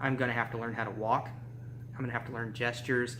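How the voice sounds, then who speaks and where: The speech comes at a very fast pace. Room echo is audible. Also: man. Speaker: vlogger. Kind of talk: video blog monologue. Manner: casual, with filler words.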